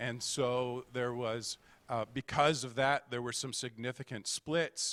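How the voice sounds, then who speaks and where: At a fairly slow pace, a man speaks in an ordinary speaking voice with medium pitch and fairly even intonation, the sound dry and close with no echo. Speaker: guest preacher. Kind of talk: sermon. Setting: church.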